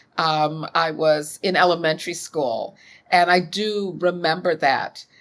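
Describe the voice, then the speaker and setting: With an American accent, a woman with an unremarkable speaking voice talks at a fairly slow pace and a fairly low pitch. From US Midwest, Chicago. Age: 60s. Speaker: author and academic. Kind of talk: interview conversation. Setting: podcast.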